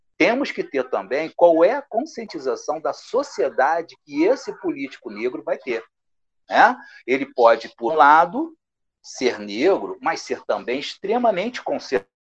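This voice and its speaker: The background stays quiet. A man talks at a fairly slow speed. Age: 60s. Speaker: history professor. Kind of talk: interview. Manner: halting.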